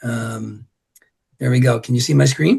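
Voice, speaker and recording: This voice moves at a fairly slow pace, with fairly even intonation and vocal fry. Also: man. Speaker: golf instructor. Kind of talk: online presentation.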